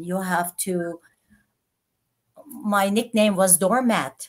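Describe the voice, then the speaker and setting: A woman with a non-native accent at a very slow pace, medium pitch and ordinary pitch variation, in a very clean recording with a silent background. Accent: foreign. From Turkey (Istanbul, Armenian). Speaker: entrepreneur and former politician. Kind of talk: interview.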